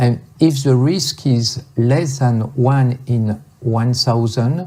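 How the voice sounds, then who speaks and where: Somewhat breathy and dark, mellow in tone, a man speaks at medium pitch and a very slow pace, with ordinary pitch variation and very even loudness. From France. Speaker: medical lecturer on fetal ultrasound. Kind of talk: lecture. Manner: halting.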